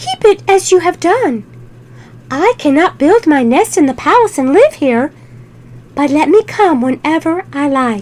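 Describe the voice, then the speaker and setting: A woman's put-on character voice, high in pitch, gentle and warm in tone, at a moderate pace. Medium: read story. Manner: gentle, warm.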